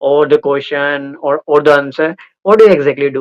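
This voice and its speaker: In an Indian accent, the voice moves at a moderate pace with fairly even intonation, recorded with a dry, close sound and no echo. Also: man. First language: Indian language. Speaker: conversation practice host. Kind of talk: casual chat.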